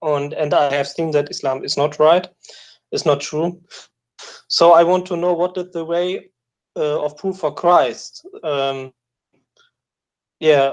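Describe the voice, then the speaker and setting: A man speaks at a fairly slow pace with fairly even intonation. His pauses are long and frequent. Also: fairly high pitch for a man. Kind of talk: call-in question. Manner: halting, many fillers and restarts.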